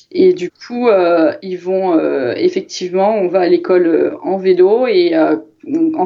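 Her intonation lively and her pitch medium, a woman talks in an ordinary speaking voice. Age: 30s. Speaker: cycling commuter, mother of two. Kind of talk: casual chat.

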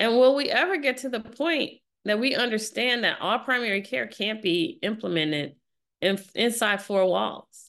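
With an American accent, a woman with a fairly high pitch and vocal fry speaks at a moderate pace with lively intonation against a quiet background. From US Midwest, St. Louis, Missouri. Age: 50s. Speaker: physician and health company founder. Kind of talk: interview.

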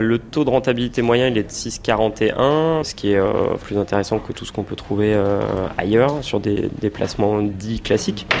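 A man's medium-pitched voice with ordinary pitch variation, at a fairly slow pace, against noticeable background noise. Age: 30s. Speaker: small business owner and investor. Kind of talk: interview.

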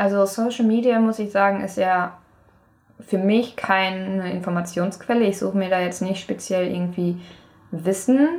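At a moderate pace, a woman speaks in a normal speaking voice with a medium pitch and fairly even intonation. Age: 20s. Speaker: university student. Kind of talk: casual chat.

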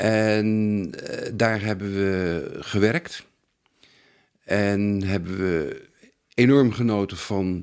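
A man with a fairly low voice speaks with long, frequent pauses. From Netherlands, Haarlem area. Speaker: antique silver expert. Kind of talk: interview. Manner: halting.

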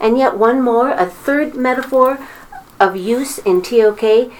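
A woman with a high voice talks at a fairly slow pace, her pitch varying an ordinary amount. Noticeable background noise can be heard. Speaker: high school teacher. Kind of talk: interview.

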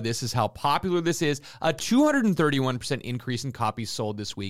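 Lively intonation marks a normal speaking voice at a fairly quick pace. The recording is very clean, with a silent background. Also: man. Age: 40s. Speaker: comic book market co-host. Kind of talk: weekly comic market rundown.

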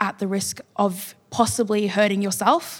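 This woman's voice sits at a medium pitch. Her delivery is monotone and flat. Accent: Australian. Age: young. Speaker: writer. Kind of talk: panel discussion. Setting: stage with audience.

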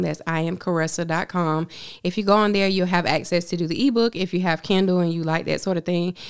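A woman with an ordinary speaking voice and an American accent, fairly low in pitch with fairly even intonation, on a very clean recording with a silent background. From Augusta, Georgia (US South). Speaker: makeup artist and author. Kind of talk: interview conversation.

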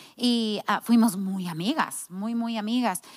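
A woman with an American accent at medium pitch, ordinary pitch variation and a fairly slow pace on a very clean recording with a silent background. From United States. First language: English (speaking Spanish). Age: 50s. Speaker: pastor's wife and ministry founder. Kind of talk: casual chat. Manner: halting.

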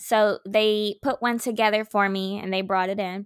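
A woman's bright, sharp tone on a very clean recording against a silent background. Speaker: podcast host, teacher. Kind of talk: casual chat, podcast.

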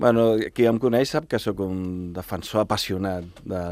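Ordinary pitch variation and a fairly slow pace come through in a very clean recording with a silent background. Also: man. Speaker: chef and restaurant owner. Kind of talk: radio interview. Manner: hesitant, repeats words.

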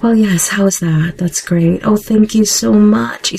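A put-on character voice, female-sounding and strained, with a fairly low pitch and a fairly slow pace. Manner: artificially polite, strained.

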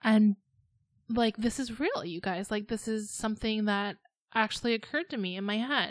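At a moderate pace, a woman speaks with a fairly high pitch and ordinary pitch variation, in a plain, everyday voice. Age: 30s. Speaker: podcast co-host and lifestyle blogger. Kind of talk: casual chat.

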